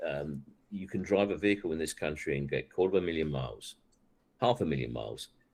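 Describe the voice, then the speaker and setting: A man with an English accent speaks in a very deep, low voice with vocal fry. His intonation is lively. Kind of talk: casual chat.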